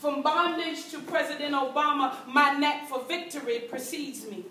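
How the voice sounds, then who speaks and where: Raising and projecting her voice with ordinary pitch variation, a woman is heard amid light background noise and audible room echo. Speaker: performance poet. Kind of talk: spoken-word poem performed to a live audience, rhythmic and rhymed. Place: hall. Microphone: camera far.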